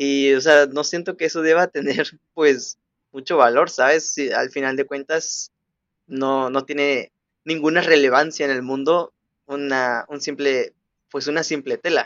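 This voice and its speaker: A man speaks in a plain, everyday voice. His pace is fairly slow and his intonation fairly even. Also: fairly high pitch for a man. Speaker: podcast co-host. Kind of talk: casual chat.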